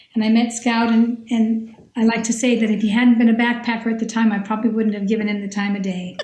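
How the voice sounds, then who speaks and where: A woman's fairly high voice at a very fast pace, with hardly any pauses, a monotone, flat intonation and noticeable background noise. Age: 60s. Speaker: retired scientist and teacher, long-distance hiker. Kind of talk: podcast interview.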